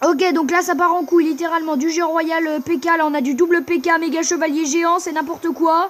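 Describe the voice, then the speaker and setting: An animated woman speaks here. Her pitch is extremely high. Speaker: gaming YouTuber. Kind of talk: live gameplay commentary. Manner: fast.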